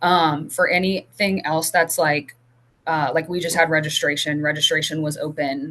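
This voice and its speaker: The woman's voice is very deep and low in pitch. It has a bright, sharp tone and fairly even intonation. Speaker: academic advisor. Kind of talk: conference presentation Q&A. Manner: fast.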